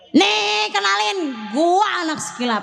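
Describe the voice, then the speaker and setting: A woman puts on a shrill character voice, pitched high and swinging very widely. She speaks at a fairly slow pace. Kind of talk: casual Jakarta slang.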